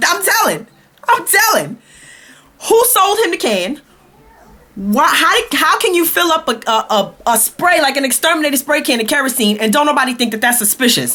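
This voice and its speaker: In an American accent, a raised, projected voice with a bright, sharp tone swings very widely in pitch while keeping very even loudness, moving at a moderate pace with long, frequent pauses. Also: woman, high pitch for a woman. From Brooklyn, New York. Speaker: vlogger. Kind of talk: comedic rant. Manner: animated.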